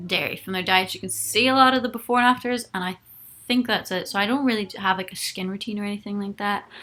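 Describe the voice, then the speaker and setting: A woman at a fairly quick pace, with a medium pitch, ordinary pitch variation and a bright, sharp tone. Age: 20s. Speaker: singer and YouTuber. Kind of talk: live-stream chat reading viewer comments. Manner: casual, with many fillers.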